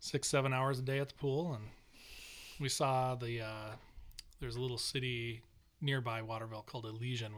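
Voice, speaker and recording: A man speaks at a fairly quick pace with a medium pitch. His intonation stays fairly even, broken by long, frequent pauses. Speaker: podcast host. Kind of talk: casual chat.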